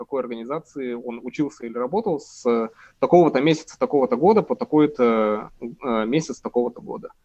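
A man speaks very fast at a fairly high pitch, with lively intonation and big swings in loudness. The sound is dry and close, with no echo. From Urals, Russia. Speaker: political scientist. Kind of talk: interview. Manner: hesitant, many fillers.

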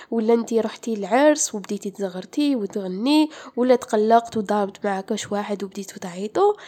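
The woman speaks at a fairly slow pace. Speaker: podcaster. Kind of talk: informative podcast talk.

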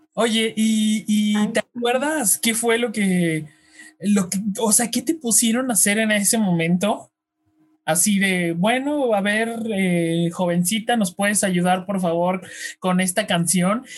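Over music in the background, a man with a high pitch talks at a very slow pace with very even loudness. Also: ordinary pitch variation. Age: young. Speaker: radio host. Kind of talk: casual interview chat.

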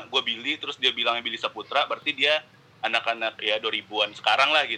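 This man's tone is bright and sharp. He speaks at a very fast pace. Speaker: podcast guest. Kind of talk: casual chat. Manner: animated, casual.

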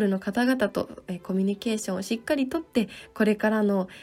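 A woman speaks with a fairly high pitch and a somewhat breathy quality. Her tone is dark and mellow. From Japan, Ibaraki (Tsukuba). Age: 20s. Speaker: classical pianist and radio host. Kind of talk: live stream talk; radio show monologue.

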